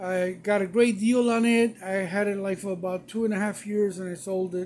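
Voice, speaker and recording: A man speaks with a high pitch. His intonation is monotone and flat. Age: 60s. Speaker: tool collector and home mechanic. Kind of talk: casual show-and-tell video. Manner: casual with frequent fillers.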